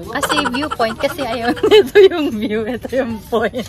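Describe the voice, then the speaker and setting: Speech comes at a very slow pace with crowd noise in the background. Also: woman. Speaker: travel vlogger. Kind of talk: casual vlog chat. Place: garden. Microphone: phone near.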